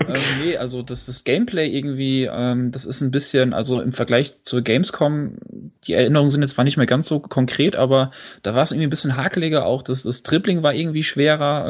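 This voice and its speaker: In a very clean recording with a silent background, a man with a plain, everyday voice speaks fairly quickly at a fairly high pitch with ordinary pitch variation. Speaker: podcast host and quiz contestant. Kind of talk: casual chat.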